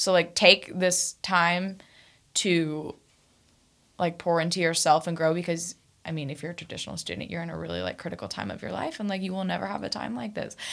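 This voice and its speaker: Speaking at a fairly quick pace with an American accent, a woman with a fairly low pitch and an ordinary speaking voice shows ordinary pitch variation and big swings in loudness on a very clean recording with a silent background. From Kansas. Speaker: recent psychology graduate. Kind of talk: casual chat. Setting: studio.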